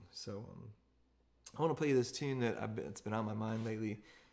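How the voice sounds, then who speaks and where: Over faint music in the background, a man talks at a fairly quick pace with fairly low pitch and fairly even intonation. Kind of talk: casual talk to an online audience between songs. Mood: warm, relaxed, a bit wistful. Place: home room. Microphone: phone near.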